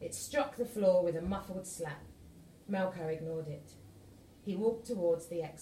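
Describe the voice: The pitch moves in an ordinary way. Someone is doing plain reading aloud.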